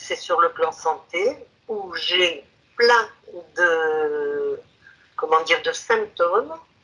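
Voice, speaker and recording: Her pitch fairly low, a woman talks at a very slow pace. She leaves long, frequent pauses. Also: ordinary pitch variation. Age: 70s. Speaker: hypnosis client. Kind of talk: interview about health history. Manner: hesitant, many fillers.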